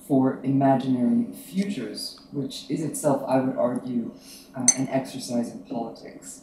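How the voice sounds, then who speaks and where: This man has a fairly high pitch with very wide swings and a dark, mellow tone. He is somewhat breathy and keeps a moderate pace. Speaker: academic panel organizer. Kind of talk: academic talk. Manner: soft-spoken.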